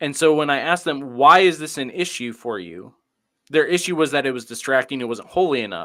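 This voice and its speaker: A man with an American accent speaks at a fairly high pitch in a bright, sharp tone. His intonation is lively, and his loudness swings widely. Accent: Midwestern accent others remark on. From US Midwest. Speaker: pastor. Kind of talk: panel discussion.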